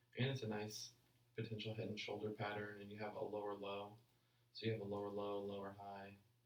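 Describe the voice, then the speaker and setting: The speech moves at a fairly quick pace in a monotone, flat way. Audible room echo is present. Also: man, fairly low pitch for a man. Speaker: forex trader streaming live analysis. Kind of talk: live trading stream commentary. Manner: casual, halting with repeated words; mumbling.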